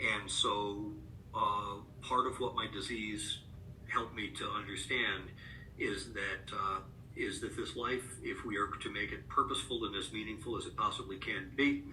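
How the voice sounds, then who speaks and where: Speaking with an American accent at a moderate pace, a man leaves long, frequent pauses, and audible room echo surrounds his voice. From Upstate New York. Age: 50s. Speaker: author and rare disease advocate. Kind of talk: interview. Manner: halting, many fillers.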